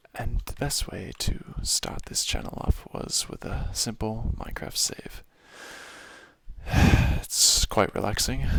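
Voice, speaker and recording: Noticeable background noise is present. Over it, a man talks very slowly. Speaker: ASMR gaming creator. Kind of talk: softly spoken ASMR gameplay commentary. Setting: home apartment. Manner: soft-spoken.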